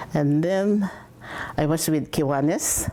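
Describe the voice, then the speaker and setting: Over noticeable background noise, a woman with a very deep, low voice speaks at a fairly slow pace with ordinary pitch variation. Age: 80s+. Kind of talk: interview answer.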